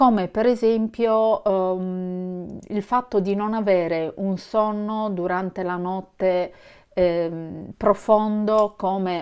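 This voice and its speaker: The background is quiet. A woman talks at a very slow pace with fairly even intonation. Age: 50s. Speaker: vlogger. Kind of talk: casual vlog talk to camera. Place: home room. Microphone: phone near.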